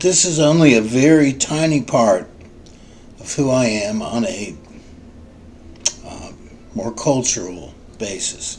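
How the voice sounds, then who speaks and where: A man with medium pitch speaks at a fairly slow pace, leaving long, frequent pauses. His pitch swings very widely and his loudness shifts a lot, all against noticeable background noise. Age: 60s. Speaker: social work student. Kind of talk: class introduction video. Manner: formal.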